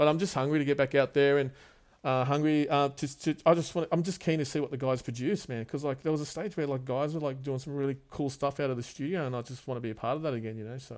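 In a very clean recording with a silent background, a man with an Australian accent speaks at a very fast pace with fairly even intonation. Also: fairly high pitch for a man. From Australia, Wollongong and Sydney. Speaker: tattoo artist and studio owner. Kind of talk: casual chat. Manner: halting, many fillers.

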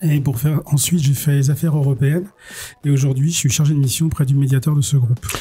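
A man with a fairly high pitch talks at a very fast pace, his intonation fairly even and his loudness very even. Noticeable background noise runs behind him. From western France, Cholet. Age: 40s. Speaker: municipal election candidate. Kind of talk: radio interview.

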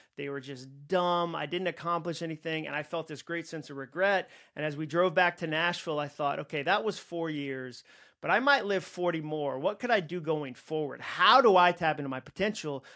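On a very clean recording with a silent background, a man with an American accent talks at a fairly quick pace, his bright, sharp tone pitched fairly high with ordinary variation. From Massachusetts. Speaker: author and speaker. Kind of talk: interview conversation. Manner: animated.

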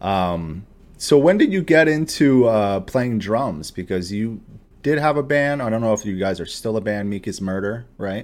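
The speaker has a plain, everyday voice with lively intonation. The pace is moderate. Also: man, fairly low pitch for a man. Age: 30s. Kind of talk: casual interview. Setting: video call.

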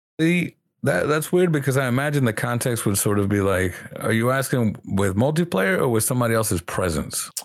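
A man with a plain, everyday voice, medium in pitch, at a fairly quick pace and with lively intonation. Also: very even loudness. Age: 20s. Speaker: guest, streamer. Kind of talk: casual chat.

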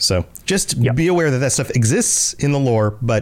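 A man talks with an unremarkable speaking voice. His pitch varies in an ordinary way. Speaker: podcast host. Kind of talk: casual podcast chat about game lore.

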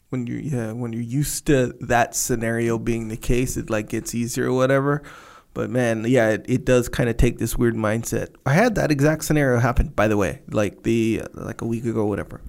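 A man's normal speaking voice at medium pitch, fairly quick, with fairly even intonation and hardly any pauses. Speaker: podcast co-host. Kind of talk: casual conversation. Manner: relaxed, brief agreeing responses.

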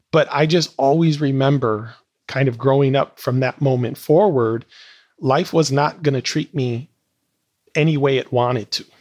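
A man with an unremarkable speaking voice talks at a moderate pace and a fairly high pitch, with fairly even intonation. The sound is dry and close with no echo, over a quiet background. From Wisconsin, Milwaukee. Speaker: entrepreneur and educator. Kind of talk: interview testimony.

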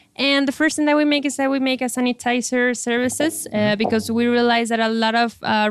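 A woman with a Spanish accent, fairly high-pitched, at a fairly quick pace with fairly even intonation. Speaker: startup founder and CEO. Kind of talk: interview.

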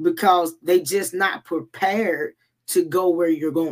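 A woman uses a plain, everyday voice, speaking at a fairly slow pace with lively intonation. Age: 30s. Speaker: podcast guest. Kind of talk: casual chat.

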